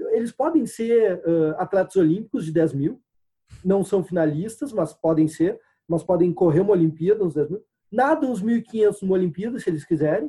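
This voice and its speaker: With lively intonation and a high pitch, a man talks at a moderate pace in a dark, mellow tone. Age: 30s. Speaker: sports crowdfunding entrepreneur. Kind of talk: interview. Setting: video call.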